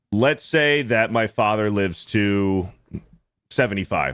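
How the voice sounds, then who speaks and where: A man speaks at a fairly slow pace in a plain, everyday voice with lively intonation, on a very clean recording with a silent background. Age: 30s. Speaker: podcast host. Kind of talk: casual chat.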